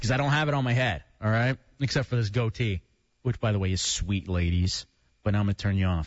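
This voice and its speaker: Somewhat breathy and fairly low-pitched, a man speaks at a very fast pace with ordinary pitch variation and very even loudness. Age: 20s. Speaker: radio host. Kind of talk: casual chat. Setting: studio.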